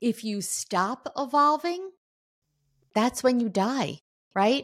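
In a very clean recording with a silent background, a woman talks at a very slow pace with lively intonation. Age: 60s. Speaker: author and entrepreneur. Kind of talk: interview testimony.

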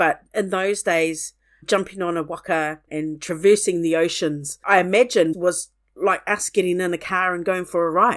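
Recorded very cleanly against a silent background, a woman speaks in a New Zealand accent at a moderate pace. Her pitch is fairly low and her intonation fairly even. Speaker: archaeologist and museum curator. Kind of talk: interview.

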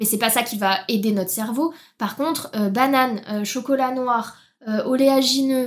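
Speaking fairly slowly, a woman uses a high pitch with ordinary pitch variation. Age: 20s. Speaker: nutrition consultant. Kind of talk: interview.

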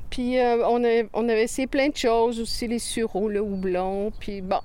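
Speaking with a Quebec accent, a woman has a fairly high pitch. Her pace is fairly slow. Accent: Québécois French. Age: 60s. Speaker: farmer. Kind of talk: interview.

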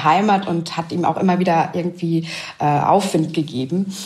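The room echo is audible, and noticeable noise sits in the background. The intonation stays fairly even. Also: woman. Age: 30s. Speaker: widowed single mother. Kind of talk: interview. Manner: hesitant, with frequent fillers.

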